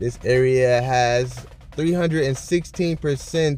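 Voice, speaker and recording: A man talks at a very slow pace. Behind him, music is playing. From northern US. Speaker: YouTuber presenting city statistics. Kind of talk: casual vlog-style commentary.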